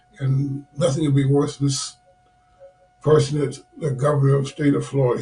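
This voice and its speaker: Noticeable background noise sits behind a man with a fairly high voice. He speaks at a fairly quick pace in a monotone with flat intonation. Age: 80s+. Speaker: author and retired police officer. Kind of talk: interview.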